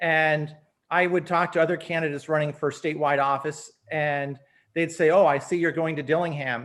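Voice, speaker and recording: A man with an American accent speaks at a fairly high pitch in a monotone, flat intonation. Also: moderate pace. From Alaska, USA. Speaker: teacher and former political candidate. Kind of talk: interview answer.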